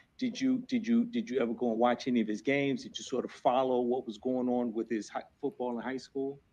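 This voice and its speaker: A man with a New Jersey accent talks at a fairly quick pace with hardly any pauses. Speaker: defense attorney. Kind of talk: courtroom examination. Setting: courtroom. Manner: fast.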